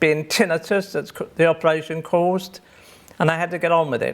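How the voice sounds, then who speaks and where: A man with an English accent speaks at a high pitch for a man, his intonation fairly even. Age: 70s. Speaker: deaf pianist. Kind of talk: personal testimony.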